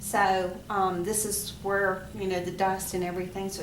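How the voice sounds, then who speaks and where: A woman with a Southern US accent, flat and monotone, amid noticeable background noise and audible room echo. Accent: southern drawl. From US South. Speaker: home sewing machine owner making a repair tutorial. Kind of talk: tutorial. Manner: casual, hesitant with fillers.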